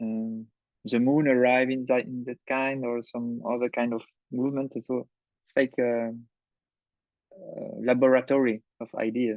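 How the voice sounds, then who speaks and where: With a French accent, a man talks at a fairly slow pace in a flat monotone at medium pitch, leaving long, frequent pauses. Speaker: cinematographer and film director. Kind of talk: masterclass talk. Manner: halting, many fillers and restarts.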